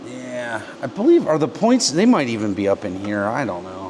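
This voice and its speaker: A man with an American accent talks at a fairly quick pace with very wide pitch swings. Noticeable background noise can be heard. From Pennsylvania, US (Pennsylvania Dutch). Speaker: motorcycle mechanic, video host. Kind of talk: casual hands-on workshop chat.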